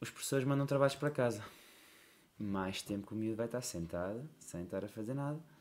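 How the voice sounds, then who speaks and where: A man of medium pitch speaks at a fairly quick pace with ordinary pitch variation in an unremarkable speaking voice. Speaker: basketball coach. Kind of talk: casual chat.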